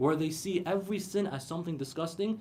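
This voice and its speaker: This man talks at a fairly quick pace in a high-pitched voice. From Iraqi. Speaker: Islamic lecturer. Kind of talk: religious lecture to a live audience. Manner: rhetorical, emphatic, explanatory.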